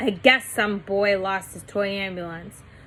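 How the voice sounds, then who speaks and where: A woman's put-on, rumbling character voice at medium pitch, with fairly even intonation, a moderate pace and clear background noise. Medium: read story. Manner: grumbling.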